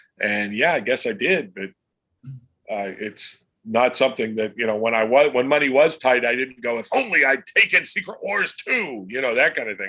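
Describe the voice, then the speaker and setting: With an American accent, a man speaks at medium pitch and a moderate pace, his tone bright and sharp and his intonation lively. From Pennsylvania, US. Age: 60s. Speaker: comic book illustrator. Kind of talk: interview. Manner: halting, many fillers and repeats.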